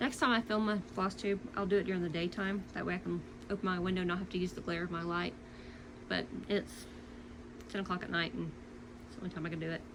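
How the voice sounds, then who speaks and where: A woman with a slight Louisiana accent speaks at a very fast pace with long, frequent pauses. Her pitch is medium and her intonation fairly even. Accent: slight Southern (Louisiana). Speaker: cross-stitch vlogger. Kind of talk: casual chat. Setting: home at night.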